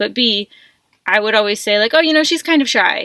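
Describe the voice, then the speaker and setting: Recorded very cleanly against a silent background, a woman with a bright, sharp tone speaks with lively intonation in a dry, close sound with no echo. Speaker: van life vlogger and coach. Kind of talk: casual vlog monologue. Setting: inside her van. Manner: fast; chatty, many fillers.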